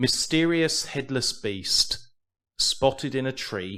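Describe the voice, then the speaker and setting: This is a very clean recording with a silent background. A man with an English accent speaks with ordinary pitch variation. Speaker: podcast co-host. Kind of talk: reading aloud news stories; casual chat.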